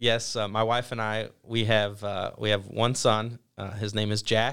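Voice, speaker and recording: A man with a Midwestern US accent talks fairly slowly at a medium pitch. The recording is very clean, with a silent background. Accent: US Midwest. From Ohio, Toledo area. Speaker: golf program instructor. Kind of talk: interview.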